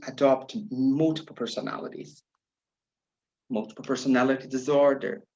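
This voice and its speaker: This man has a Brazilian accent. His pitch sits in the medium range. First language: Portuguese. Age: 40s. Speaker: spiritual tarot practitioner. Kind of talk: personal life story. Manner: non-native, hesitant phrasing.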